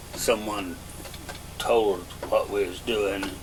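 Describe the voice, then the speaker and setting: Over noticeable background noise, a man with a rural Southern US accent talks at a very slow pace. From Arkansas. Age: 70s. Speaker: elderly interviewee. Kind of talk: oral history interview. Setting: at home. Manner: halting, with frequent uh.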